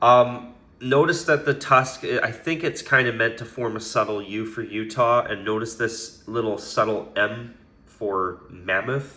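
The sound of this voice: A man speaks at a fairly low pitch, his voice raspy with a bright, sharp tone. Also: ordinary pitch variation, fairly slow pace.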